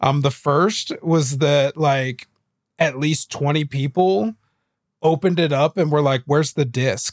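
An unremarkable speaking voice comes through at a fairly slow pace with very even loudness and ordinary pitch variation, in a very clean recording with a silent background and a dry, close sound with no echo. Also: man, fairly high pitch for a man. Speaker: podcast co-host, video game talk. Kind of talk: casual banter.

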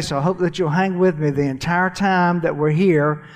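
A high-pitched man's voice with a Southern US accent, fairly quick and monotone with flat intonation. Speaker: church finance speaker. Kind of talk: church teaching session.

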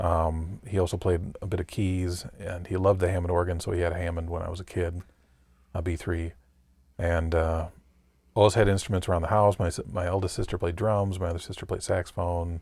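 In an American accent, a man speaks with a very deep, low pitch, somewhat breathy and in a monotone, flat intonation. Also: very clean recording, silent background. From Michigan, US Midwest. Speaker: jazz organist. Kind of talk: casual interview chat.

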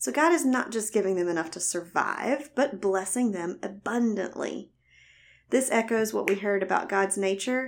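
A woman's voice with ordinary pitch variation comes through on a very clean recording with a silent background. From US South. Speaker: Bible teacher, physical therapist. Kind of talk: Bible teaching talk. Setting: recorded audio teaching.

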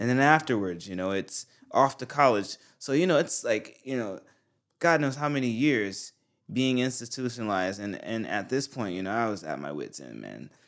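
With an American accent and an ordinary speaking voice, a man talks at medium pitch and a moderate pace, his lively intonation and big swings in loudness captured on a very clean recording with a silent background. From US South. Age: 30s. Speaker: rapper and musician, former Marine. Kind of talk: casual chat.

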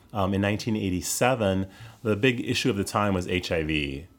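On a very clean recording with a silent background, a man with an unremarkable speaking voice talks fairly quickly at a fairly low pitch. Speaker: caregiver burnout educator and speaker. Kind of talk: interview conversation.

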